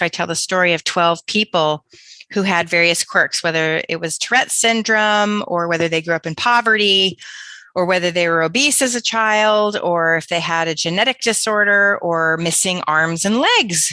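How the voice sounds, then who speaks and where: A woman speaks with an American accent at medium pitch, using ordinary pitch variation and a bright, sharp tone. The sound is dry and close with no echo, over a quiet background. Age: 50s. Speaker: author and career coach. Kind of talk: podcast interview. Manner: animated.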